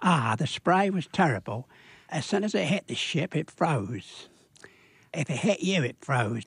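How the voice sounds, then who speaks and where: A man with a British accent speaks at a fairly slow pace, his fairly high pitch swinging very widely with vocal fry. The sound is dry and close with no echo, against a quiet background. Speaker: war veteran. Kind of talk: radio interview answer. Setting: studio.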